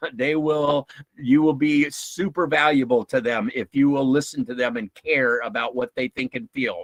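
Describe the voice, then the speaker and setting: A man with a normal speaking voice, fairly high in pitch, at a moderate pace with ordinary pitch variation, hardly any pauses, and a dry, close sound with no echo. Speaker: workshop speaker on emotional intelligence. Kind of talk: lecture. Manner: casual, many fillers.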